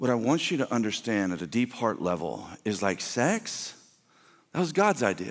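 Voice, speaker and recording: Against a quiet background, a man speaks with an American accent and vocal fry. His pitch swings very widely at a moderate pace. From US South. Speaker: pastor. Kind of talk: sermon. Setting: church. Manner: animated. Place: stage. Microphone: headset.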